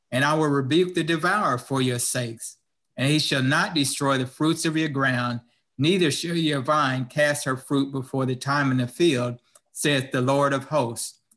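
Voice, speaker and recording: A man talks in an unremarkable speaking voice at a fairly high pitch and a moderate pace. His intonation stays fairly even and his loudness very even. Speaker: stewardship leader at church service. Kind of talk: scripture reading and stewardship appeal. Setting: online church service livestream. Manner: formal, measured, earnest.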